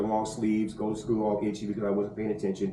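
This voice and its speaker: A man with an American accent speaks at a fairly low pitch. Audible room echo and noticeable background noise surround his voice. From US South, Mobile, Alabama. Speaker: roofing salesman. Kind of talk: casual podcast interview.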